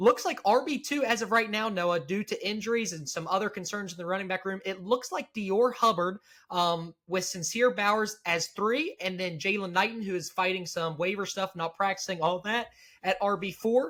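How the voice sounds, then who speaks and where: This man has a high pitch and a bright, sharp tone. He sounds animated at a moderate pace, with ordinary pitch variation. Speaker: sports podcast host. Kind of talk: casual sports discussion. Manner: stumbling.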